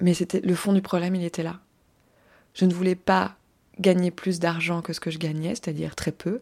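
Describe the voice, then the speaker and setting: On a very clean recording with a silent background, a woman with a fairly low pitch speaks at a moderate pace in a monotone, flat way, with long, frequent pauses. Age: 30s. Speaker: podcast host and life coach. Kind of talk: solo podcast monologue. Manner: casual, with hesitations.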